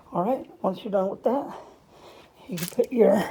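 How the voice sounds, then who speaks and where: A woman's voice over noticeable background noise. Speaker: appliance repair technician. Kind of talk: tutorial. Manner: casual.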